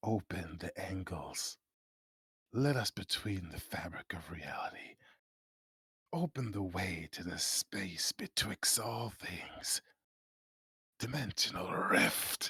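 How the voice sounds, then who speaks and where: Someone whispers in a put-on character voice. The pace is fairly slow, with long, frequent pauses. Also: man. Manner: whispering.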